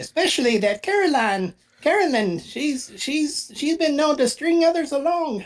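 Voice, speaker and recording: Using a put-on character voice, a man talks at a fairly slow pace with extremely high pitch. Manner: friendly, reassuring.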